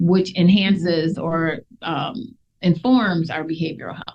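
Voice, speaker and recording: A woman speaks in a somewhat breathy voice at a fairly low pitch. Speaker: mental health nurse practitioner. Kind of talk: radio interview. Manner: fast.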